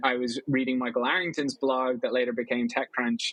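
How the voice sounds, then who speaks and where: In an Irish accent, a man talks at a very fast pace with a medium pitch and fairly even intonation. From Ireland. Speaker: venture capital investor. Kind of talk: interview. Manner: casual, conversational.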